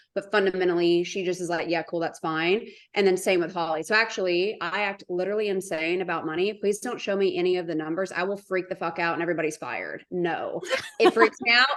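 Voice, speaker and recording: Against a quiet background, a woman speaks at a very fast pace in an animated tone. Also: medium pitch for a woman. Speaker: business co-founder. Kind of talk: podcast interview. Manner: loud.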